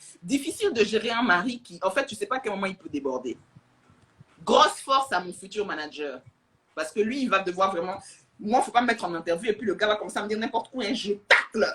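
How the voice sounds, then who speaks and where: A woman speaks at a fairly quick pace in a fairly high pitch, with an animated tone and lively intonation. Her loudness swings widely. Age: young. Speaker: social media influencer. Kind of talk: casual livestream chat. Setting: Instagram live. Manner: fast.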